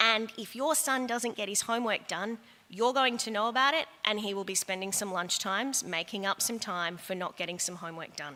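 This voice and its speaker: In an Australian accent, a woman talks at a fairly quick pace with hardly any pauses, her fairly high pitch showing ordinary variation. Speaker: head of year at a school. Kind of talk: school information evening talk to parents. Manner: fast.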